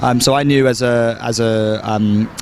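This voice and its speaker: Speaking in a British accent, a man with a medium pitch keeps a monotone, flat intonation amid noticeable background noise. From London, England. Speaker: film director. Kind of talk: red carpet interview. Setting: film festival red carpet. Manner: halting, many fillers.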